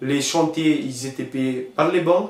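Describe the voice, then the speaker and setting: A man speaks with fairly even intonation amid noticeable background noise and audible room echo. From northern Romania, Maramures. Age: 30s. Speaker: hotel manager, immigrant. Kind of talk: interview testimony. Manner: halting, many repetitions.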